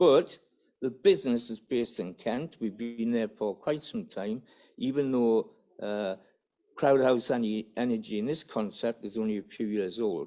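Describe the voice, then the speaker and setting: With a Geordie accent, a man talks at a moderate pace in a medium pitch with ordinary pitch variation and a dark, mellow tone. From northern England, Newcastle area. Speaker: business development officer. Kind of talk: conference presentation. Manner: halting.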